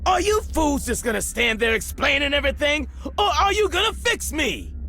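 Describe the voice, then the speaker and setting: Using a put-on character voice, a man talks at a moderate pace. Clear background noise can be heard. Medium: video game. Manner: cranky, indignant.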